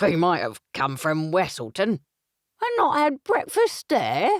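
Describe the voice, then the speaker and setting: At a fairly slow pace, a man does a croaky, high-pitched put-on character voice in a dry, close sound with no echo. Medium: read story. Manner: gossipy, suspicious.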